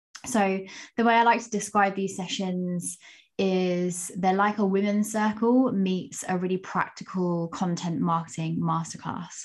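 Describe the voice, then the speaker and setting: Against a quiet background, a woman with a plain, everyday voice talks fairly slowly at medium pitch, her intonation fairly even. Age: 30s. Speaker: podcast host and marketing coach. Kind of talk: podcast interview.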